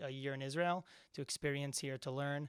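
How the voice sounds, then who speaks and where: A man with a bright, sharp tone and a New Jersey accent, fairly even intonation at a moderate pace, on a very clean recording with a silent background. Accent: American English (New Jersey). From US East Coast, New Jersey. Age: 20s. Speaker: university student. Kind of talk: podcast interview. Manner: hesitant, many fillers.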